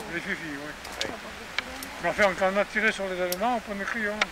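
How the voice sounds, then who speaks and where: Amid noticeable background noise, a man with a high pitch talks at a fairly quick pace with fairly even intonation. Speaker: war veteran, former resistance fighter. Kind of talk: interview answer.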